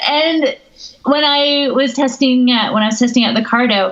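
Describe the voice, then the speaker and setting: With an American accent, a woman speaks at a moderate pace using ordinary pitch variation. Noticeable background noise runs under her voice. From United States. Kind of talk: casual chat.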